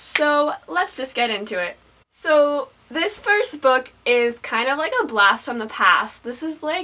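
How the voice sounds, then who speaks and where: Projecting a raised voice, a woman speaks very slowly at a high pitch with very wide pitch swings amid noticeable background noise. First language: French. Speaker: book vlogger. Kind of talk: casual vlog. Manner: animated.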